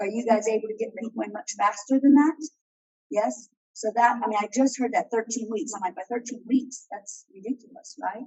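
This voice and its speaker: Using a normal speaking voice, a fairly high-pitched woman moves along at a fairly quick pace, her pitch varying in an ordinary way. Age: 60s. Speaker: school principal. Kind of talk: meeting remarks.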